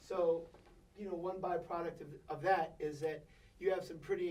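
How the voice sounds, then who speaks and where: A man's high-pitched, flat, monotone voice with an American accent at a moderate pace, plus noticeable background noise and audible room echo. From US South, Virginia Beach. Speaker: percussionist. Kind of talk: casual interview.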